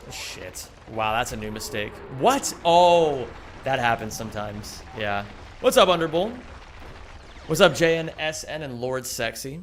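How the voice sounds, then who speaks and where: With an American accent and a fairly high pitch, a man speaks with lively intonation, big swings in loudness and long, frequent pauses over noticeable background noise. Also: fairly slow pace. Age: 30s. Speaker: video game streamer and speedrunner. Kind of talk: live stream chat while playing. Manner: casual, conversational.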